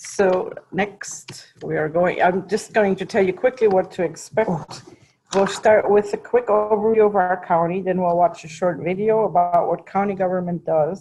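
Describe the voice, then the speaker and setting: With a German accent, a woman of medium pitch speaks at a moderate pace. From Germany. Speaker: county board member. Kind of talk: public presentation.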